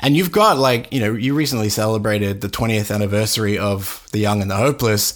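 Talking at a fairly quick clip, this man has a fairly low voice and ordinary pitch variation. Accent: Australian. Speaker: podcast host. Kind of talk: casual interview. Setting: video call.

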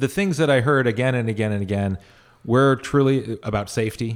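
A man speaks at a fairly quick pace in a Californian accent, his pitch medium with ordinary variation. The recording is very clean, with a silent background. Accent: Californian American. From northern California, Sierra Nevada foothills. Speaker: mayoral candidate and conflict resolution mediator. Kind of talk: interview.

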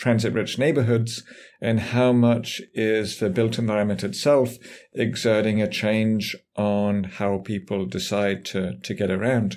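The recording is very clean, with a silent background. A man with an English accent speaks fairly slowly in a fairly low voice, with fairly even intonation. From England. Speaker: urban planning professor. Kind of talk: interview.

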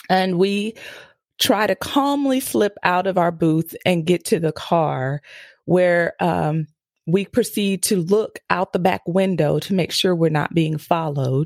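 A normal speaking voice from a woman with an American accent, fairly low pitch, lively intonation and very even loudness at a fairly slow pace, on a very clean recording with a silent background and a dry, close sound with no echo. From US East Coast. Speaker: mom coach and podcast host. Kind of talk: interview conversation.

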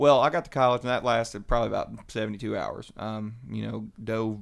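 A man with a Kentucky accent speaks at a fairly quick pace in a medium pitch, his intonation fairly even. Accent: US Southern (Kentucky). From Western Kentucky. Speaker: church member sharing testimony. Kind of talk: testimony.

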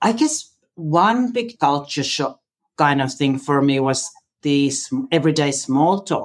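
The speaker talks at a fairly slow pace with a Finnish accent. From Finland. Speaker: interview guest. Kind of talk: casual chat.

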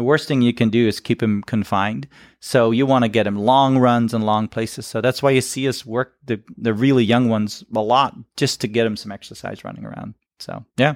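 Fairly quick and fairly even in intonation, a man with a Dutch accent speaks at medium pitch, his voice dry and close with no echo on a very clean recording with a silent background. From Netherlands. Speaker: animal trainer. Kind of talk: interview. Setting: stage with audience.

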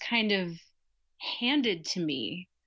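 A woman speaks at a very slow pace in a bright, sharp tone. Her pitch swings very widely. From Nebraska, Lincoln. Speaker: graduate student and storyteller. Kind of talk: podcast interview.

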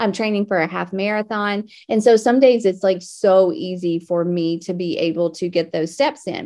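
Speaking with hardly any pauses, a woman keeps a moderate pace at a medium pitch with ordinary pitch variation. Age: 40s. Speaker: faith and wellness podcast host. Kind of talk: solo podcast monologue. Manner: animated.

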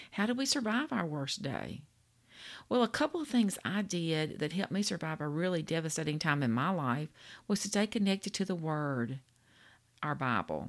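A woman speaks at a moderate pace in a Louisiana accent, her pitch swinging very widely. The recording is very clean, with a silent background. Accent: Louisiana Southern US. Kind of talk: devotional talk. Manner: warm, folksy.

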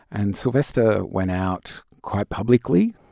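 A man with an Australian accent speaks very slowly with fairly even intonation, in a dry, close sound with no echo on a very clean recording with a silent background. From Tasmania, Australia. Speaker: music producer and activist. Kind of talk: interview.

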